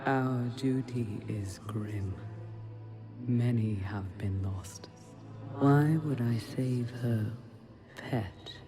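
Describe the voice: A woman's put-on character voice, extremely low-pitched with a dark, mellow tone and ordinary pitch variation, at a very slow pace with faint music in the background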